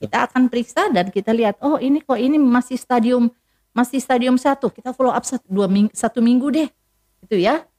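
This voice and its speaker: Her loudness swinging widely, a woman with a high pitch speaks with lively intonation in a dry, close sound with no echo. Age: 60s. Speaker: eye specialist doctor. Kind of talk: health talk interview. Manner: hesitant with fillers.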